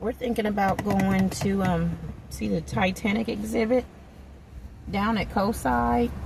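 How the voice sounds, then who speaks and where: A woman at a fairly slow pace with long, frequent pauses, over noticeable background noise. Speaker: vlogger. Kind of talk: casual monologue while driving. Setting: in a car. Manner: animated.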